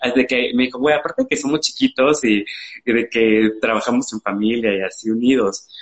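With a Mexican accent, the speaker talks at a moderate pace and with fairly even intonation. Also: man, medium pitch for a man. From Mexico, Veracruz (Xalapa). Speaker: fashion brand founder. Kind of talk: live interview. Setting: live stream.

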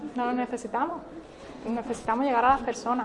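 A woman is heard over noticeable background noise. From Spain, Málaga. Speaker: church workshop leader. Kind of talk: workshop teaching. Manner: animated.

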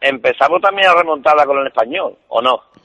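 The sound is dry and close, with no echo. A man speaks in a bright, sharp tone with ordinary pitch variation. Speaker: caller, football fan. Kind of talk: casual call-in chat. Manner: halting.

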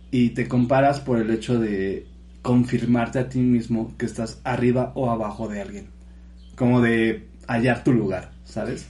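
At a fairly slow pace, a man with a medium pitch sounds somewhat breathy and dark, mellow in tone, keeping his intonation fairly even. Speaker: podcast co-host. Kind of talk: casual chat.

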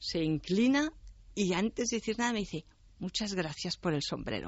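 A woman's medium-pitched, somewhat breathy voice at a fairly slow pace, full of very wide pitch swings. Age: 60s. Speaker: writer and translator. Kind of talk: interview.

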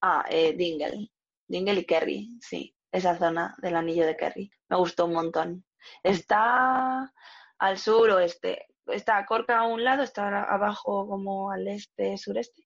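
This woman speaks very slowly. Behind her, the background stays quiet. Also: medium pitch for a woman, ordinary pitch variation. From Spain, small village in Burgos province. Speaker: youth leisure monitor and traveller. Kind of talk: interview.

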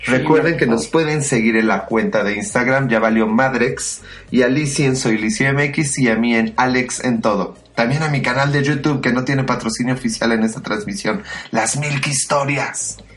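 A man's medium-pitched voice with very even loudness and ordinary pitch variation, music in the background and audible room echo. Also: moderate pace. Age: 30s. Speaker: podcast co-host. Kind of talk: casual chat.

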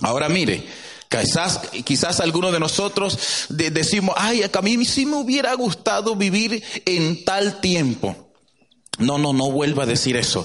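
A man's high-pitched, animated voice with very wide pitch swings and very even loudness, plus audible room echo and noticeable background noise. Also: fairly slow pace. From Latin America. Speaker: preacher. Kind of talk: sermon.

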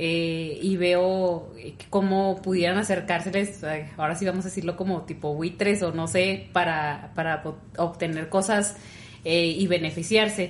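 A woman speaks at a fairly slow pace in a flat, monotone delivery. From rural Mexico. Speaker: podcast co-host. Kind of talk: casual chat.

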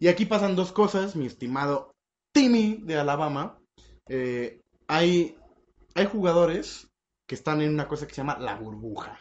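A man with a Mexican accent, high pitch and an animated tone, at a fairly slow pace with long, frequent pauses. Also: lively intonation. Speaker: podcast host. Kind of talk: casual chat.

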